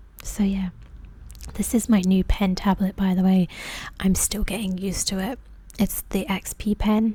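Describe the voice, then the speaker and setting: Soft-spoken and somewhat breathy, a woman with a dark, mellow tone talks at medium pitch and a moderate pace. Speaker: ASMR artist. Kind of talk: tutorial-style voiceover. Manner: casual, hesitant.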